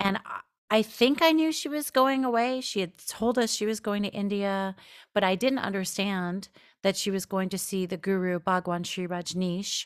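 A woman with a plain, everyday voice, medium pitch and lively intonation speaks at a moderate pace on a very clean recording with a silent background. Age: 40s. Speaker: writer and podcast host. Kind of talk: interview.

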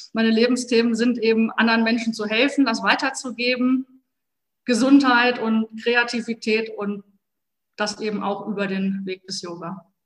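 A woman talks at a moderate pace with fairly high pitch. Her loudness swings widely. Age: 40s. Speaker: police officer and yoga teacher. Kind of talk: interview. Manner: hesitant fillers.

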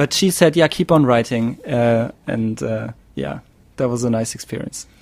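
Speaking at a fairly slow pace with a German accent, a man uses a medium pitch and ordinary pitch variation. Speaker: podcast host. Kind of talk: casual chat. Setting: video call. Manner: halting.

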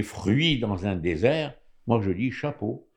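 With lively intonation, a man at a medium pitch speaks at a very slow pace. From Morocco. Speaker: radio commentator. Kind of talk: radio panel discussion.

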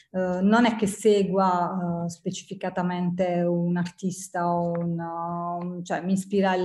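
A woman's somewhat breathy, dark and mellow voice at medium pitch, monotone and flat in intonation, on a very clean recording with a silent background. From southern Italy, Apulia (province of Bari). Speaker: ceramic artist and graphic designer. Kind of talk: casual interview chat.

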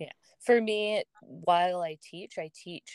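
Heard in a dry, close sound with no echo, a woman with a fairly low pitch talks in a plain, everyday voice with an American accent and ordinary pitch variation. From US, Massachusetts. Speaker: runner and fitness instructor. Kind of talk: casual interview chat.

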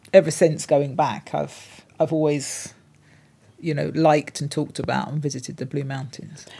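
Speaking with a London accent, a woman with a very deep, low pitch and a dark, mellow tone shows vocal fry, monotone, flat intonation and big swings in loudness on a very clean recording with a silent background. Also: moderate pace. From London (Hornsey). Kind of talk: interview.

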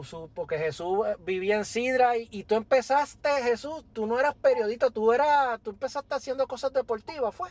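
Hardly any pauses break up the moderately paced speech. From Puerto Rico, Yabucoa. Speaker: podcast host. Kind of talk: casual chat.

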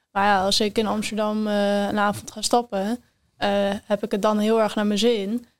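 Her voice is medium-pitched and monotone, flat in intonation, as the woman speaks at a moderate pace. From Netherlands, North Holland (Enkhuizen). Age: 20s. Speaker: student with rheumatism. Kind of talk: casual chat.

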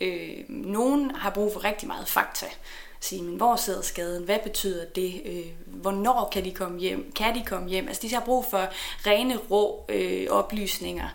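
A woman talks fairly slowly amid noticeable background noise, audible room echo around her voice. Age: 30s. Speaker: neuropsychologist. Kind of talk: interview. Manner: halting.

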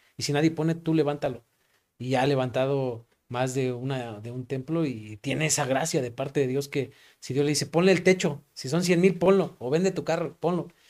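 Against a silent background, the very clean recording captures a man with a fairly high pitch. He talks fairly quickly, his pitch varying in an ordinary way. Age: 30s. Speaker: pastor. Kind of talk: casual chat. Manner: halting.

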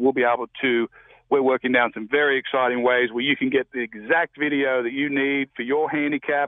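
This man has a medium-pitched voice. He talks at a very fast pace. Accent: Australian. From Australia. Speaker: golfer. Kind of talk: phone call-in chat.

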